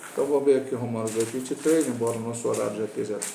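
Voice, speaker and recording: Clearly audible noise fills the background. A man talks over it. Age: 60s. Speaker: pastor. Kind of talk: Sunday school Bible lesson. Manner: informal, conversational teaching.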